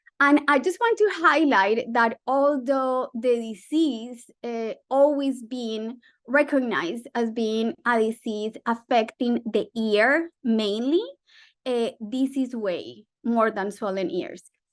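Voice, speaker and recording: A woman talks loudly and very slowly in a Spanish accent. Her pitch is high, and the background is quiet. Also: ordinary pitch variation. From Colombia. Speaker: physician researcher. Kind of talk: medical webinar lecture.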